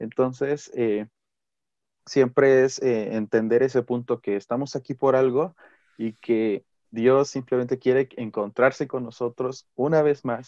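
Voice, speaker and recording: With an unremarkable speaking voice, a man of medium pitch talks at a fairly slow pace with fairly even intonation, the sound dry and close with no echo. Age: 18. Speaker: pastor's son, church youth member. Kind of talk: casual chat.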